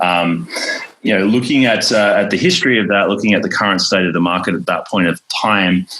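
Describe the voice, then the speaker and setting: This man talks at a fairly quick pace with very even loudness and ordinary pitch variation. His pitch sits fairly low, and there is noticeable background noise. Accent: Australian. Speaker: tech company founder. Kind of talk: interview. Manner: many fillers and repetitions.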